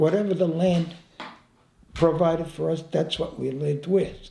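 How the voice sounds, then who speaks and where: A man's high pitch and lively intonation at a moderate pace, with audible room echo. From Italy. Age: 90s. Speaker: war veteran. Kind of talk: life story interview. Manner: halting, repeats words.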